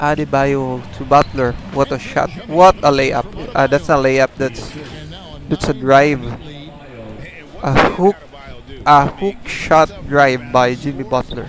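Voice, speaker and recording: A man with a non-native accent and a fairly high pitch, very slow pace, long, frequent pauses, ordinary pitch variation and noticeable background noise. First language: not English. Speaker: gaming livestreamer. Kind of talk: live gameplay commentary. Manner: halting.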